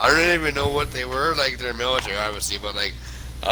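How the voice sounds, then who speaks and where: A man's very fast speech with a western Canadian accent, audible room echo and noticeable background noise. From Canada. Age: 20s. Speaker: gamer. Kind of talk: casual chat. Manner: animated.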